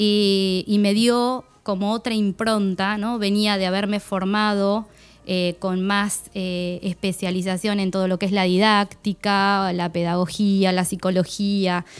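On a very clean recording with a silent background, a woman speaks at a very slow pace and medium pitch, monotone and flat, with hardly any pauses. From Argentina, Buenos Aires province countryside near Tandil. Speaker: technical school administrator and teacher. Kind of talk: radio interview. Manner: halting, with frequent fillers and repetitions.

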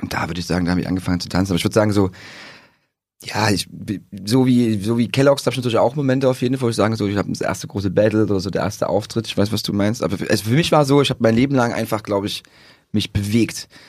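The speech rushes at a very fast pace with ordinary pitch variation. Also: man, fairly low pitch for a man. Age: 30s. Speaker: breakdancer. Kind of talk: casual chat. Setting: studio. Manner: animated.

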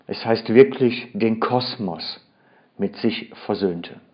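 A man speaks at a medium pitch. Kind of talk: sermon. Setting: church. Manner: earnest, expository, emphatic; careful, formal standard German.

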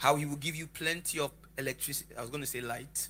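The man here has a fairly high pitch and a bright, sharp tone with vocal fry. He talks at a fairly quick pace. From Lagos, Nigeria. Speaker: preacher. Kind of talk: sermon. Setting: church with live congregation. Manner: animated, interactive.

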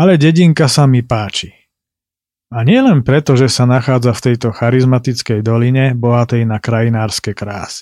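A man's dark, mellow voice at medium pitch. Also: ordinary pitch variation, moderate pace, very clean recording, silent background. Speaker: podcast host and travel narrator. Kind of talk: scripted narration.

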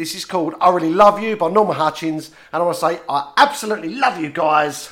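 Speaking at a very fast pace, a man sounds animated and playful, his pitch high for a man. Noticeable background noise runs behind him. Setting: radio studio.

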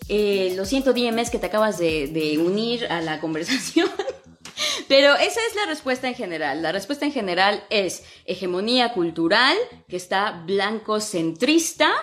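A woman speaks in a Mexican accent at a medium pitch. Her pace is fairly slow, with very wide pitch swings. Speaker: English teacher and podcast host. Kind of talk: casual Instagram live talk. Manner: animated, colloquial.

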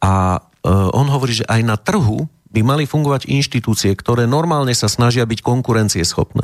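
A man talks in a normal speaking voice at medium pitch and a moderate pace, with ordinary pitch variation, very even loudness, and a dry, close sound with no echo. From Slovakia, Prievidza. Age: 40s. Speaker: politician and writer. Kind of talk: interview.

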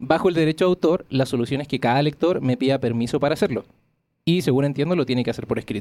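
At a very fast pace, a man talks with a dark, mellow tone, a fairly high pitch and ordinary pitch variation. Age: 30s. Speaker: podcast host. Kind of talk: scripted narration; casual interview chat. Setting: studio.

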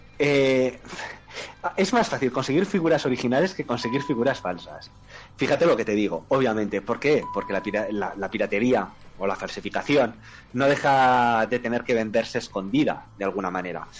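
Here a man has an unremarkable speaking voice at a medium pitch. He talks at a moderate pace with lively intonation. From Spain. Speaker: podcast co-host. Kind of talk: casual chat.

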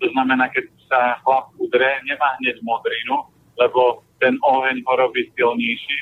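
A man speaks at a fairly slow pace, his loudness very even. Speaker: nutrition advisor. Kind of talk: advice interview. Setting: phone call from a car. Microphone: poor line, sounds like in a cellar.

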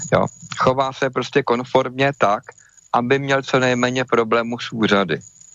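Against noticeable background noise, a man with a medium pitch speaks at a fairly slow pace with ordinary pitch variation. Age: 50s. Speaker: inventor and medical device maker. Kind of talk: interview. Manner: casual with many fillers.

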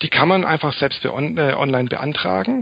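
Over noticeable background noise, a man's fairly high voice moves fairly quickly, its pitch varying in an ordinary way. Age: 30s. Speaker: self-publishing author and PR consultant. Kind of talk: interview.

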